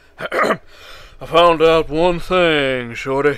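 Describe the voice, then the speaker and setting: Using a put-on character voice, a man speaks at a fairly high pitch with fairly even intonation. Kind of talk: mocking parody. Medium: solo performance.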